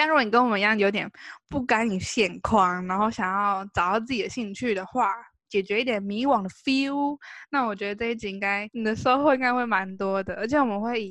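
Over a quiet background, a woman talks at a fairly quick pace in a fairly high voice with ordinary pitch variation. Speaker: podcast co-host. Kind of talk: casual chat.

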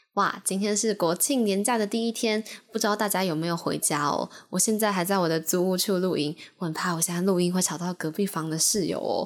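Speaking with a Taiwanese accent, a woman keeps a medium pitch, ordinary pitch variation, very even loudness and a fairly quick pace. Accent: Taiwanese Mandarin. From central Taiwan. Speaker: podcast host, university student. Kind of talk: casual solo podcast talk. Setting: home recording in rented room.

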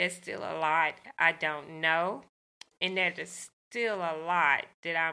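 Speaking very slowly with a Southern US accent, a woman uses a fairly low pitch, a bright, sharp tone and fairly even intonation. The recording is very clean, with a silent background. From US South, rural Arkansas. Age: 50s. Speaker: teacher and brain surgery survivor. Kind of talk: interview, personal testimony.

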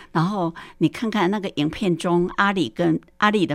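With a normal speaking voice, a woman talks at a moderate pace and a fairly low pitch, showing ordinary pitch variation on a very clean recording with a silent background. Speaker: retired primary school teacher. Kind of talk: film commentary.

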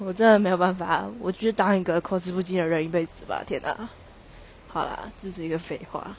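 Speaking with a Taichung accent, a woman goes at a fairly quick pace with medium pitch, fairly even intonation and big swings in loudness. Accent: Taichung Mandarin. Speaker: podcaster. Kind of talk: casual monologue. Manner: laughing, halting.

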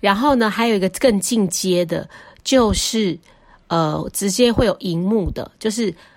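An unremarkable speaking voice. The pace is fairly slow. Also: woman, medium pitch for a woman, ordinary pitch variation, very clean recording, silent background. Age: 40s. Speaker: podcast host, stay-at-home mother. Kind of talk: casual solo monologue.

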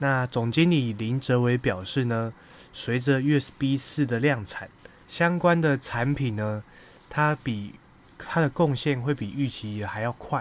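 A man at a medium pitch with ordinary pitch variation and a very slow pace. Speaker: investing podcaster. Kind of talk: casual monologue on stock research. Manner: hesitant with many fillers.

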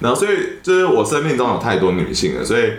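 A man is speaking. Noticeable background noise and audible room echo surround him. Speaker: podcaster. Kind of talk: casual chat.

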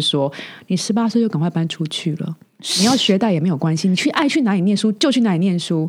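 A woman's medium-pitched voice at a very fast pace, with lively intonation. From southern Taiwan. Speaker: podcast host. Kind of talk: casual interview chat.

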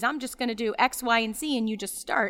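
On a very clean recording with a silent background, a woman in a normal speaking voice talks fairly quickly at a fairly high pitch. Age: 40s. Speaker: podcast co-host, lawyer. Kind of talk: casual advice chat.

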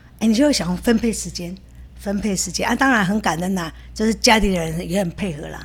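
A woman with vocal fry races along at a very fast pace, her medium pitch showing ordinary variation. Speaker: dance teacher and food shop owner. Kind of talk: casual interview.

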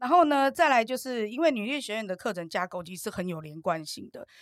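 With an animated tone and very wide pitch swings, a woman speaks fairly quickly at a fairly high pitch in a very clean, silent-background recording with a dry, close sound and no echo. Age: 50s. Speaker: entrepreneur and course student. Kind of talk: interview.

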